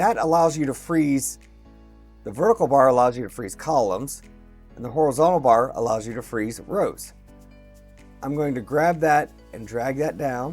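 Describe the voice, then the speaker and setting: A man at a moderate pace with long, frequent pauses and music in the background. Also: medium pitch for a man, lively intonation. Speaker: educational technology tutor. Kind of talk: screen-recorded software tutorial.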